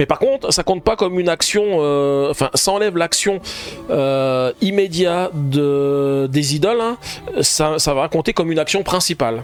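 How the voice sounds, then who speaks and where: A man's fairly high-pitched voice at very even loudness, with noticeable background noise. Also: lively intonation, fairly slow pace. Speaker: board game youtuber. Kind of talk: solo board game playthrough with live chat. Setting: home live stream, window closed. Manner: hesitant with fillers.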